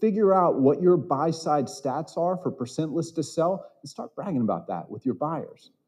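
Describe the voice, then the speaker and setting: A man's fairly high voice with a dark, mellow tone and vocal fry, lively intonation, a moderate pace and hardly any pauses. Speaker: conference speaker on real estate. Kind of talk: seminar talk to live audience. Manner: quiet, low-volume talker.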